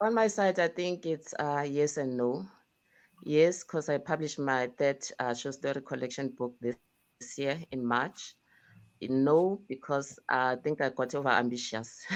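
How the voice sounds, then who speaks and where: A woman's very deep, low voice in a South African accent, with ordinary pitch variation, a fairly slow pace and a quiet background. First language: isiZulu. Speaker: indie author. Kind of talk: casual chat.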